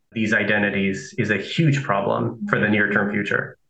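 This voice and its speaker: This man has a fairly low pitch, a bright, sharp tone and some vocal fry, and he talks at a moderate pace. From Nicaragua, raised in Southern California. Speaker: philosophy professor. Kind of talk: interview.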